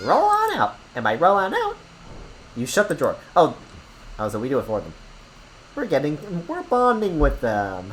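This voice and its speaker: Using a put-on character voice, a man speaks in a high pitch at a moderate pace with long, frequent pauses, against clear background noise. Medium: virtual streamer. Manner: sly, conspiratorial.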